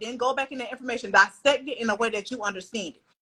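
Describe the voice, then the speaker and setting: In a raised, projected voice with a bright, sharp tone, the speaker uses ordinary pitch variation. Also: woman. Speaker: credit repair coach selling courses. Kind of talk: livestream interview. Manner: fast.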